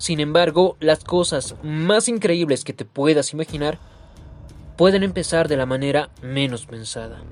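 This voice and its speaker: With ordinary pitch variation, a man speaks at a fairly high pitch and a fairly slow pace. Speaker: storyteller. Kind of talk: scripted narration.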